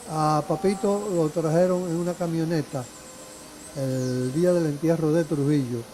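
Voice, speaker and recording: Behind the speech, there is noticeable background noise, while the pitch rises and falls in an ordinary way. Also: man. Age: 70s. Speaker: retired lawyer and law teacher. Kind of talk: interview testimony. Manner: halting.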